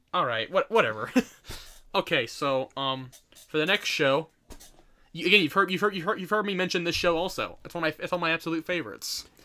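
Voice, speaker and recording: A man's high, bright, sharp voice, very fast and lively, broken by long, frequent pauses. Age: young. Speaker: podcast co-host. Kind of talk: casual chat. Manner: animated.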